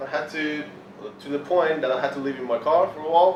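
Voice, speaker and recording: A man's fairly high-pitched voice with audible room echo and noticeable background noise. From Iran. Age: 20s. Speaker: motivational speaker and fitness coach. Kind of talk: motivational presentation. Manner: passionate, intense.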